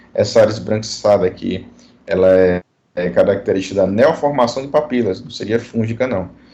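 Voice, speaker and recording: A man talks fairly quickly at a fairly low pitch with ordinary pitch variation. His loudness swings widely, and the room echo is audible. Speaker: dentistry professor. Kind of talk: online lecture. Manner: fast.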